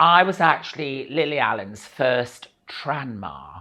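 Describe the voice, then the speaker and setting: The speaker has a Lincolnshire accent, heard against a quiet background. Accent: northern English (Lincolnshire). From Grimsby, England. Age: 60s. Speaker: actress and singer. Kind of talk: interview answer. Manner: humorous.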